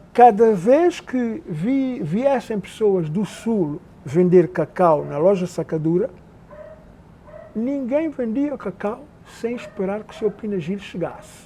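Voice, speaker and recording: A man's high-pitched voice at a very slow pace, with lively intonation. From Príncipe island, São Tomé and Príncipe. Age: 70s. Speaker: oral history interviewee. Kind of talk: oral history interview. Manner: halting.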